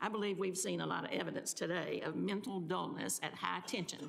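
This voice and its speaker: A woman speaks with a Mississippi accent. Her pace is moderate. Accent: Southern US, sounds like Mississippi. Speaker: congresswoman. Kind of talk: hearing statement. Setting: congressional hearing room.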